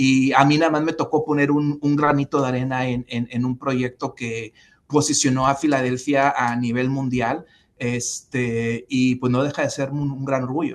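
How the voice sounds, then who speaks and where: A man speaks at a moderate pace and a medium pitch with a Spanish accent. His intonation is monotone and flat. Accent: Spanish accent when speaking English. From Mexico. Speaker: former city official, civic leader. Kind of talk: interview. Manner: halting, many repetitions and fillers.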